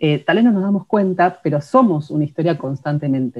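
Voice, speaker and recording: A woman with a Rioplatense accent talks at a fairly quick pace in a somewhat breathy voice with very wide pitch swings. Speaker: writer and podcast co-host. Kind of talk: casual instructional chat.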